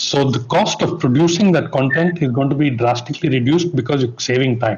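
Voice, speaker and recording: A man with a fairly high voice speaks at a moderate pace with ordinary pitch variation. Noticeable background noise runs underneath. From India. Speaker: broadcast technology executive. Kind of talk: panel discussion.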